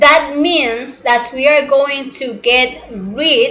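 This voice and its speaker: Speaking very slowly with a non-native accent, a woman with a high pitch and ordinary pitch variation is heard through audible room echo and noticeable background noise. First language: not English. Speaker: spiritual teacher. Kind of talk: lecture. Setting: live broadcast. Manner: halting.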